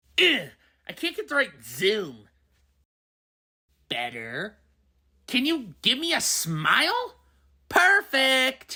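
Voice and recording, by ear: A woman puts on a cartoonish character voice, high in pitch. She goes at a very slow pace, with long, frequent pauses.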